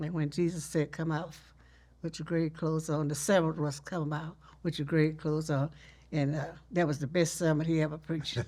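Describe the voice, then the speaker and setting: A woman speaks in a Texas accent with a very deep, low pitch and a dark, mellow tone, her intonation monotone and flat at a moderate pace, in a very clean recording with a silent background. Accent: Southern US (Texas). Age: 80s+. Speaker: storyteller, teacher, family historian. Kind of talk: interview answer.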